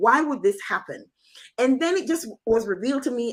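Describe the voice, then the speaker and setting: At a fairly quick pace, a woman is speaking. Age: 60s. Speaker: financial counselor and accountant. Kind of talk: testimony.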